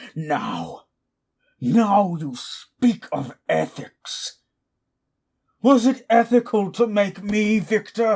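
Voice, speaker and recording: A man shouts in a put-on character voice at a high pitch. He goes very slowly, with long, frequent pauses. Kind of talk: audio drama roleplay. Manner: angry, shouting.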